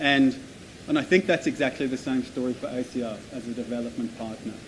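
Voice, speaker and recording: This man has an Australian accent. His pitch is medium. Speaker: development agency representative. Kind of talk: conference presentation.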